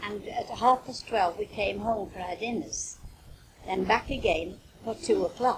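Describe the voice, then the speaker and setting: A woman's fairly high voice with a Potteries accent, very slow and lively in intonation, amid noticeable background noise. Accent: Potteries (North Staffordshire) English. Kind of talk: interview answer. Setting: home cassette recording. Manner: reminiscing, conversational.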